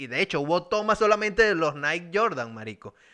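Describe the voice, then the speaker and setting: Speaking in a Venezuelan accent, a man talks at a fairly quick pace with lively intonation. His tone is bright, sharp and animated. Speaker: podcast host. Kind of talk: casual chat.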